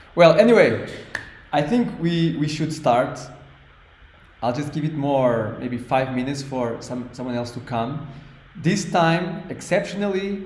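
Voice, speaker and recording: A man's fairly high voice in a Portuguese accent, fairly slow with lively intonation, amid audible room echo. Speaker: language teacher. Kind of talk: online class. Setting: online class. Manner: halting.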